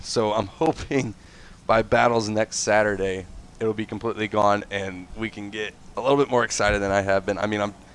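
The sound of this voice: A man talks at a moderate pace with fairly even intonation. His voice is nasal and fairly low-pitched.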